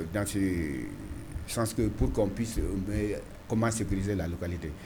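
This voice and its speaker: A man's fairly low, somewhat breathy voice at a fairly slow pace, with audible room echo. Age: 60s. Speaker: mayor. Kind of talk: interview. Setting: TV studio. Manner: halting, repetitive.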